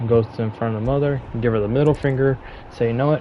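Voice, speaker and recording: The intonation is fairly even. Behind the voice there is noticeable background noise. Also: man. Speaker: gaming streamer. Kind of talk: gameplay commentary. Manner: casual; low volume.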